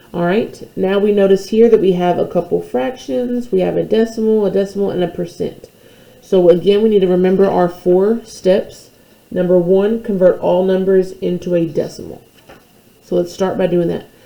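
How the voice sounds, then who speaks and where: A plain, everyday voice from a woman at medium pitch, moderate in pace, with fairly even intonation. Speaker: math teacher. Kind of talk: tutorial.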